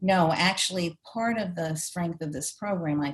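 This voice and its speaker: A woman's voice comes through somewhat breathy. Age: 70s. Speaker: retired education official and program director. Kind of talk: interview.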